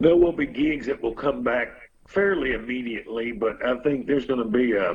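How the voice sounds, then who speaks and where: A man speaks with a strong Texas accent. His pitch sits in the medium range. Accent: strong Texas Southern. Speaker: musician. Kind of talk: casual chat.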